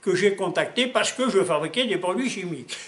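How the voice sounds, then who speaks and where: His intonation lively, a man talks in a voice pitched high for a man. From Alsace, France. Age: 80s+. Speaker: laboratory owner, chemist. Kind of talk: interview. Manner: hesitant, many fillers.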